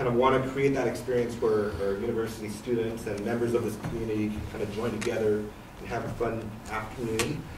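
Noticeable background noise behind a man's fairly quick delivery and fairly even intonation. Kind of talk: presentation to a public commission. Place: meeting room.

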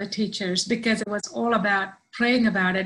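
A woman speaks at a moderate pace with monotone, flat intonation. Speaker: interview guest. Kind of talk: interview answer. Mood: emotional, heartfelt testimony. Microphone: video call.

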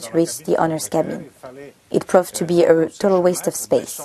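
Over light background noise, a woman with an unremarkable speaking voice talks at a fairly quick pace and a fairly low pitch. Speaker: boat designer guide. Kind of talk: guided product tour. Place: boat. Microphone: lapel.

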